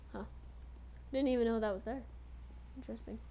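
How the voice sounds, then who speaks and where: Fairly quick speech with audible room echo. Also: woman. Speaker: gaming video creator. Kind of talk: let's play commentary. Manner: casual, filler words.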